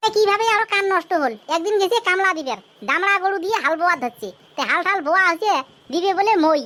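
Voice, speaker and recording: Extremely high-pitched and cartoonish, a woman's character voice moves at a fairly quick pace with lively intonation. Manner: chatty, colloquial village storyteller.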